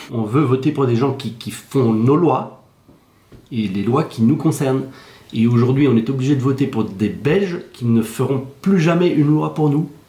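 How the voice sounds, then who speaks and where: At a fairly slow pace, a man speaks at a medium pitch with ordinary pitch variation. His voice is somewhat breathy. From Belgium. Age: 60s. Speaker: Belgian resident seeking French citizenship. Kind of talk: news interview.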